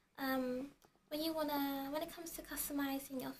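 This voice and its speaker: Softly spoken and high-pitched, a woman talks at a moderate pace with fairly even intonation over light background noise. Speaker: beauty and tech vlogger. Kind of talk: casual product review to camera. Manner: soft-spoken. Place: home room. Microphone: camera far.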